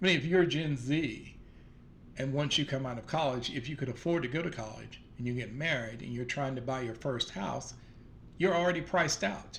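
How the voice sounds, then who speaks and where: With a Southern US accent, a man talks at a fairly quick pace and fairly high pitch, using ordinary pitch variation amid audible room echo. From US South. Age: 60s. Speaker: vlogger. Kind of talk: casual monologue. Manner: hesitant, many fillers.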